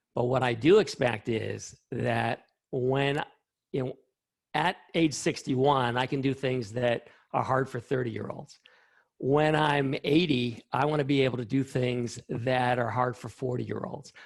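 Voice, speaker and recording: A man's normal speaking voice at medium pitch, with a fairly slow pace and fairly even intonation. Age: 60s. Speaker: scientist. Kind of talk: interview.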